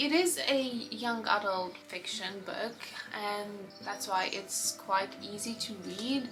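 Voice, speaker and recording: In a Lithuanian accent, a woman speaks at a fairly slow pace and medium pitch with ordinary pitch variation, amid noticeable background noise and audible room echo. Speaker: book vlogger. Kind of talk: casual book review vlog.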